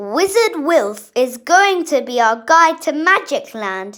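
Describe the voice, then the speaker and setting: Putting on a character voice, a woman speaks high at a fairly slow pace with very wide pitch swings. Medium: read story. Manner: jolly.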